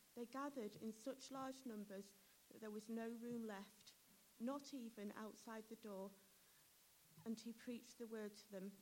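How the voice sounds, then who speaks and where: Her pitch fairly high and her intonation fairly even, a woman speaks at a fairly slow pace with long, frequent pauses. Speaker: scripture reader. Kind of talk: reading aloud. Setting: church.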